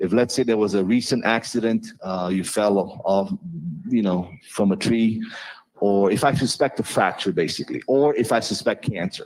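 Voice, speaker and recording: Speaking with a non-native accent, the voice holds a very even loudness throughout. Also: man, medium pitch for a man, ordinary pitch variation, moderate pace. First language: not English. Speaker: chiropractor. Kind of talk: informal presentation to a live audience. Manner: animated.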